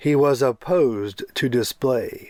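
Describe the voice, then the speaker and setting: With music in the background, a man does a put-on character voice at medium pitch and a fairly slow pace. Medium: read story.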